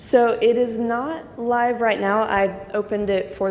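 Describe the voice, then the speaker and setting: A woman with ordinary pitch variation, audible room echo and noticeable background noise. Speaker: nonprofit staff member. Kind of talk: software tutorial demonstration.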